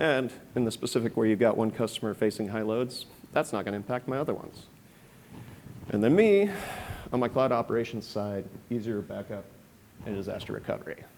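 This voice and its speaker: Long, frequent pauses break up a man's fairly quick speech. His pitch sits at a medium level. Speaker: software engineering and security manager. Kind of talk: conference presentation. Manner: fast.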